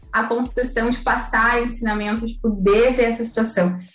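The woman speaks at a moderate pace. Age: 20s. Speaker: beauty pageant queen and systems analyst. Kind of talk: casual interview.

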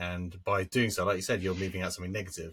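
A man speaks with a very deep, low pitch and fairly even intonation. The recording is very clean and the background silent. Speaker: podcast co-host. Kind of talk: casual chat. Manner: halting, repeats words.

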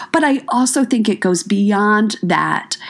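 Against noticeable background noise, a woman with an American accent sounds upbeat and enthusiastic. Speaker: podcast host. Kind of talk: motivational talk. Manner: upbeat, enthusiastic.

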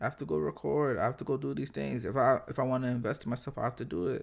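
A man with vocal fry speaks at a medium pitch and a very fast pace. His intonation is lively. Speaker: podcast host. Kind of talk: casual solo monologue.

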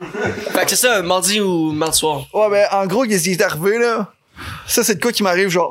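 The speaker talks at a fairly slow pace with a Quebec accent. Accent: Québécois French. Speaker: podcast guest. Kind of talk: casual chat.

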